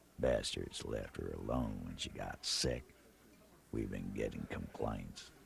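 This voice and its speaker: A man's gruff, put-on character voice at a fairly slow pace. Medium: video game. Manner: gruff, mocking.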